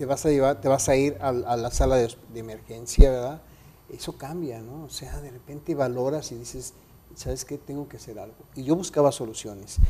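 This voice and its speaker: A man talks at a moderate pace and medium pitch, somewhat breathy and with a dark, mellow tone. His loudness swings widely, while his pitch varies in an ordinary way. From Mexico City. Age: 50s. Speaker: radio announcer and photographer; radio announcer. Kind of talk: interview. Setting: studio. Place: studio. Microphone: lapel.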